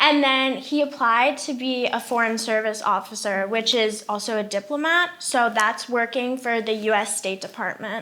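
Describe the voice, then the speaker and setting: A woman with an American accent at a moderate pace, bright and sharp in tone, with hardly any pauses. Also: fairly high pitch for a woman, ordinary pitch variation. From mostly Africa, international schools, American family. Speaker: university student. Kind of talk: podcast interview.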